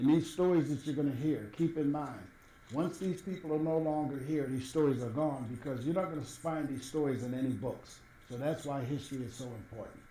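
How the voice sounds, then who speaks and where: A man with an American accent speaks fairly quickly at a fairly high pitch. His pitch variation is ordinary, and room echo is audible. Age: 70s. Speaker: former city administrator. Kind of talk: interview.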